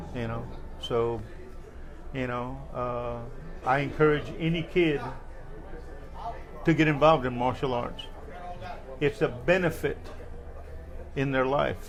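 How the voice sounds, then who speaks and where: A man speaks fairly slowly with an American accent, leaving long, frequent pauses. Noticeable background noise and audible room echo are present. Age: 60s. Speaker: martial arts veteran and Vietnam veteran. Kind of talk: interview.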